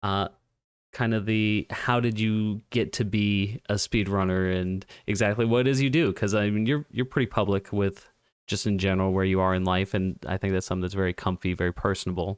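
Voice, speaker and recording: On a very clean recording with a silent background, a man with an ordinary speaking voice talks at a fairly quick pace and fairly low pitch, with fairly even intonation and very even loudness. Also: dry, close sound with no echo. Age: 20s. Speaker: podcast host. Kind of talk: casual chat.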